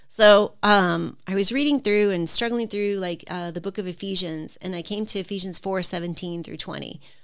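Heard on a very clean recording with a silent background, a woman uses an ordinary speaking voice at medium pitch, moderate pace and ordinary pitch variation. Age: 50s. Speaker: retired teacher. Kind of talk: casual chat.

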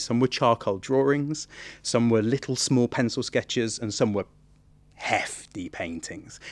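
Speaking with an East Midlands accent at a fairly slow pace, a man uses a medium pitch and ordinary pitch variation over a quiet background. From England, Nottingham. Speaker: theatre artistic director. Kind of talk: interview.

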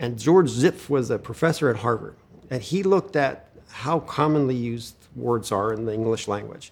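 A man speaks at a moderate pace with an American accent. He has a medium pitch and an unremarkable speaking voice. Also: lively intonation. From Pennsylvania, US. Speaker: retina specialist and researcher. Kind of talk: interview.

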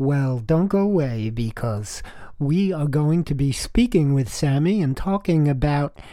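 Music plays in the background as the speaker talks at a very slow pace with very wide pitch swings. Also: man. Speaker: podcast host. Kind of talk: show intro and outro.

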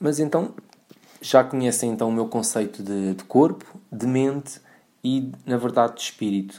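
A man with a European Portuguese accent, medium pitch, ordinary pitch variation, a dark, mellow tone, moderate pace, and long, frequent pauses. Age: 30s. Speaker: podcast host, personal trainer. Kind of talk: podcast monologue. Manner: halting, many fillers.

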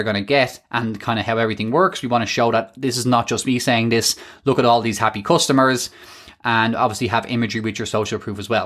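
This man has a medium pitch and races along at a very fast pace. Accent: Irish. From Ireland. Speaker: podcast host and e-commerce business coach. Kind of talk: solo podcast tutorial. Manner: fast talker; animated.

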